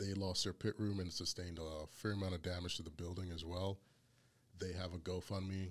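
A man with an American accent and a very deep, low voice talks fairly quickly in a flat monotone, recorded very cleanly against a silent background. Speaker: barbecue podcast host. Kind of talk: casual chat. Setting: studio.

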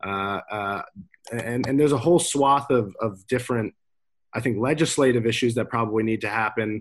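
Over a quiet background, a man talks fairly quickly at a medium pitch with ordinary pitch variation. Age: 20s. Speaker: young entrepreneur. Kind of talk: panel discussion. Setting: video call. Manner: halting.

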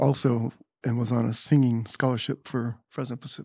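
A plain, everyday voice with an American accent speaks at a moderate pace with fairly even intonation. The sound is dry and close, with no echo. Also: man. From California, Carpinteria. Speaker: retired teacher. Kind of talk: casual chat.

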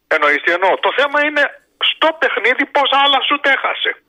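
The speaker is a man. He talks at a moderate pace. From Greece. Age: 60s. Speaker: caller, sports fan. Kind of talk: phone-in chat.

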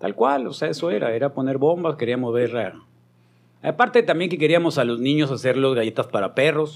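A man's fairly high, fairly quick delivery with ordinary pitch variation, an ordinary speaking voice. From Mexico, Hermosillo, Sonora. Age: 50s. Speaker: radio broadcaster. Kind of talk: casual chat. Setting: studio.

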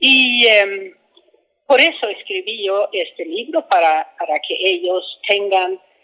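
A woman's medium-pitched voice, bright and sharp in tone, with lively intonation. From Sweden. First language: Swedish (speaking Spanish). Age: 70s. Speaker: author. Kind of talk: book promotion interview. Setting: book fair. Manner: halting.

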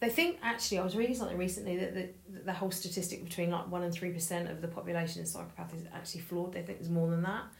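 A woman at a very fast pace with hardly any pauses, fairly low in pitch, with fairly even intonation over noticeable background noise. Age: 40s. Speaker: podcast co-host. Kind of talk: casual chat. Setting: home dining room.

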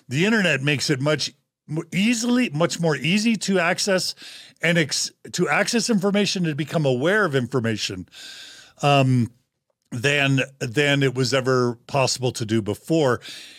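In a very clean recording with a silent background, a man speaks at fairly high pitch with very wide pitch swings. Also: moderate pace, very even loudness. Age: 50s. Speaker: podcast host. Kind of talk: casual discussion.

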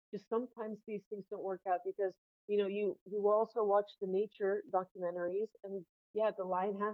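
Using a normal speaking voice, a woman with an American accent talks at a moderate pace and medium pitch with fairly even intonation. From US South, northern Florida. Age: 30s. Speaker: guest sharing personal story. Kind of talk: casual interview.

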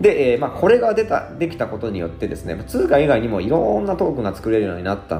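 A man talks very fast through audible room echo and noticeable background noise. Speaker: blogger and podcast host. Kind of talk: solo explainer talk. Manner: many filler words.

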